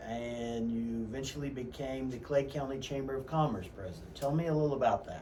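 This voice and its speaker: A man's speech comes through noticeable background noise and audible room echo. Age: 50s. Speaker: radio host and real estate agent. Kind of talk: radio interview. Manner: halting, many fillers.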